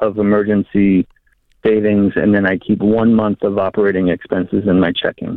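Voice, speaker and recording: A man with an unremarkable speaking voice talks at a moderate pace and fairly low pitch. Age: 30s. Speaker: caller. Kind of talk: phone-in advice call.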